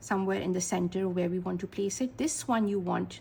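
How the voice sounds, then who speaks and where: A woman is speaking. She talks with a Pakistani accent. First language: Urdu. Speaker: art teacher. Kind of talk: tutorial.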